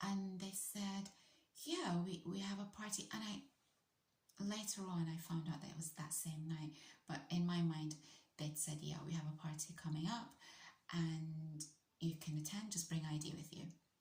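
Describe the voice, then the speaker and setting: Somewhat breathy and with a British accent, the voice keeps a moderate pace broken by long, frequent pauses. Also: woman, fairly low pitch for a woman. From UK. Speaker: vlogger. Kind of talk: storytelling monologue. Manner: animated.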